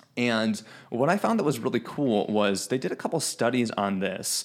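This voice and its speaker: Speaking at a fairly slow pace, a man uses a plain, everyday voice at a medium pitch. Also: very clean recording, silent background. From Chicago, US Midwest. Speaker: fitness podcast host. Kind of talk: casual chat.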